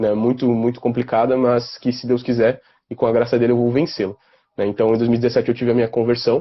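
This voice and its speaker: Talking at a very fast pace, a man delivers his words in a monotone with flat intonation. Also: medium pitch for a man. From southern Brazil, Porto Alegre (Rio Grande do Sul). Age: 20s. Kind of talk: casual interview on a live stream.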